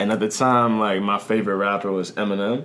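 A man's fairly low voice with an American accent at a moderate pace, with audible room echo and noticeable background noise. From US, Washington DC / Maryland area. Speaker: rapper. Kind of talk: casual chat.

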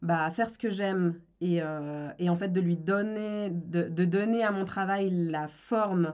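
An unremarkable speaking voice from a woman, fairly low in pitch with fairly even intonation. The recording is very clean, the background silent. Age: 20s. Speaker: lawyer and discrimination consultant. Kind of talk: interview.

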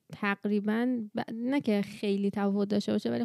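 A woman talks at a moderate pace and medium pitch with fairly even intonation and a dark, mellow tone. The recording is very clean, with a silent background. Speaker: podcast co-host. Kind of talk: casual chat.

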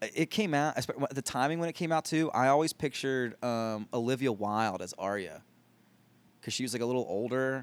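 A man with an American accent uses a normal speaking voice at a medium pitch with ordinary pitch variation. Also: fairly quick pace. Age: 30s. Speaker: comedian. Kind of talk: casual chat.

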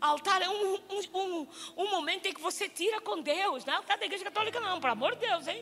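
Using a raised, projected voice, the speaker moves at a moderate pace with lively intonation. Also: woman. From Angola. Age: 50s. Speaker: missionary preacher. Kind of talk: sermon. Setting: church stage with congregation.

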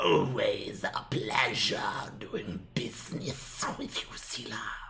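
In a whisper, someone does a put-on character voice at a very slow pace. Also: man. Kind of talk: polite. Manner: creepy, smooth.

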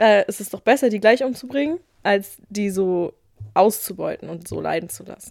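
A woman at a moderate pace and medium pitch, her loudness swinging widely, her pitch varying in an ordinary way. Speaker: podcast host. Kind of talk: casual chat; quiz. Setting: studio.

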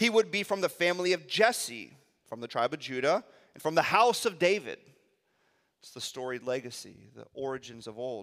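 Animated in tone, a man's voice shows big swings in loudness and very wide pitch swings. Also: fairly high pitch for a man, moderate pace. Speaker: pastor. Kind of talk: sermon. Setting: church with congregation.

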